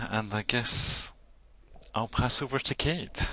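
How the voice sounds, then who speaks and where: This man speaks in a Scottish accent at a fairly slow pace. His tone is bright and sharp, with ordinary pitch variation. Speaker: counsellor and association chair. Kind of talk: panel introduction in online town hall. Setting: virtual meeting.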